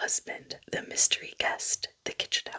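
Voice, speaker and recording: Someone whispers at a fairly slow pace. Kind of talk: ASMR book rambling. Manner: soft-spoken.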